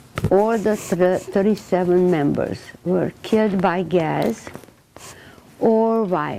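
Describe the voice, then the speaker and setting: Noticeable background noise sits under speech delivered at a very slow pace. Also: woman. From Transylvania, Romania. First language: Hungarian. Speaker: Holocaust survivor speaker. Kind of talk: testimony talk to students. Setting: classroom with students. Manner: halting, with fillers.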